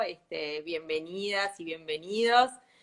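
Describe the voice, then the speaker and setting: A woman talks very slowly at a medium pitch, with ordinary pitch variation. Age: 40s. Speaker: sustainability consultant. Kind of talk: casual chat.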